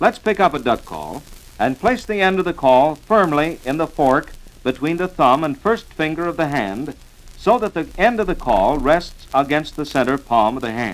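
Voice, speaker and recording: Speaking at a moderate pace, a man with a fairly high pitch and vocal fry lets his voice swing very widely up and down. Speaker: instructional narrator. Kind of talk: instructional record narration. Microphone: old recording.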